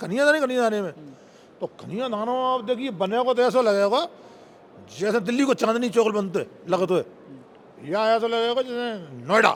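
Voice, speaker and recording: An animated man speaks at a high pitch with ordinary pitch variation. He leaves long, frequent pauses. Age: 60s. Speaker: politician. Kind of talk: interview.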